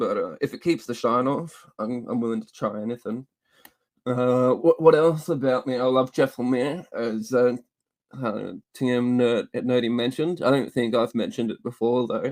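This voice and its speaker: A man with an Australian accent at medium pitch, moderate pace and fairly even intonation. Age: 30s. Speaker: comic book YouTuber. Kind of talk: casual chat. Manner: halting.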